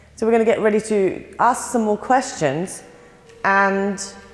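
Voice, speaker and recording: A woman with a South African accent at a moderate pace. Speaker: paranormal investigator, show host. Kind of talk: live ghost-hunt commentary. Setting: underground tunnels.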